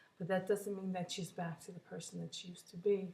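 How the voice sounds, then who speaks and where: Speaking at a fairly quick pace, a woman has a fairly low, somewhat breathy voice. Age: 60s. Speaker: vlogger sharing weight loss surgery journey. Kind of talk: casual personal vlog. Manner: halting with fillers.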